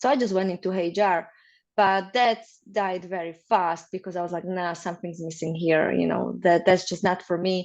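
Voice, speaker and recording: Over a quiet background, a woman speaks in a Slovak accent. Her pitch is fairly low and her intonation fairly even. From Slovakia. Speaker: marriage consultant. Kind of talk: interview.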